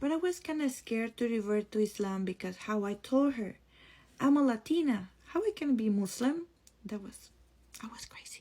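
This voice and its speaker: A woman's dark, mellow tone with a strong Spanish accent, a fairly quick pace and ordinary pitch variation. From Costa Rica. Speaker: content creator. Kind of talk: personal testimony. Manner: casual, conversational.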